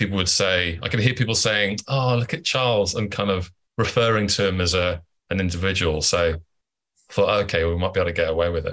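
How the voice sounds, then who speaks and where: With a plain, everyday voice, a man talks at a fairly quick pace, keeping a fairly low pitch, ordinary pitch variation and very even loudness. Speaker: actor and comedian. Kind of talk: casual interview chat. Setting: remote call.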